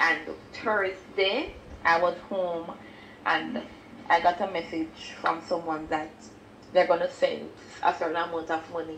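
With audible room echo and light background noise, a woman speaks fairly slowly in a fairly low pitch, her intonation fairly even and broken by long, frequent pauses. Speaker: church member giving testimony. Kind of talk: testimony. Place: home room.

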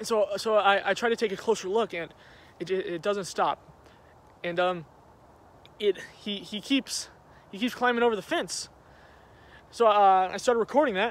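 A man with a high pitch speaks at a moderate pace with ordinary pitch variation and long, frequent pauses, in a dry sound with no echo. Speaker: vlogger. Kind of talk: dramatic storytelling vlog, staged. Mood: agitated, mock-scared. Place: garden. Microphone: phone near.

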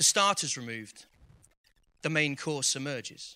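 Bright, sharp tone in a man's raised and projected voice. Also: quiet background. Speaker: poet and school teacher. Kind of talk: spoken word poetry performance. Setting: live event, audience. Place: stage. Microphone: handheld.

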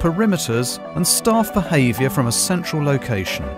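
Music plays in the background as someone with a British accent talks at a fairly quick pace. The tone is upbeat, with very wide pitch swings. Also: man. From England. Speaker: voice actor. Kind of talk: explainer video corporate narration.

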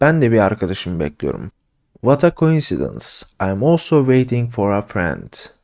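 A man's medium-pitched voice at a fairly slow pace with very wide pitch swings, very clean recording, silent background. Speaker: English teacher. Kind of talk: tutorial. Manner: casual.

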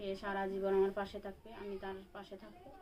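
Medium-pitched female voice, with noticeable background noise behind it. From Bangladesh, Rangpur. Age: 20s. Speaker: domestic worker, divorced mother. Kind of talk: interview. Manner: soft-spoken; halting.

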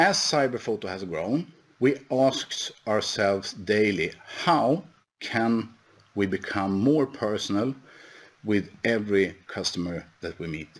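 A man speaks at a fairly slow pace with a Swedish accent and lively intonation. His pitch is fairly low. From Sweden. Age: 50s. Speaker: company executive; presenter. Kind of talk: conference presentation. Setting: online webinar. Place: office. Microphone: headset.

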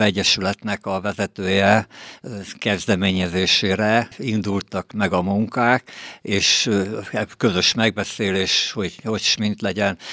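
Very slow speech from a man, fairly low in pitch, bright and sharp in tone, with fairly even intonation, a dry sound with no echo and a quiet background. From Veszprém, Hungary; Hungary. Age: 70s. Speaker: retired pool engineer. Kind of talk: interview. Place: studio. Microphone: studio mic.

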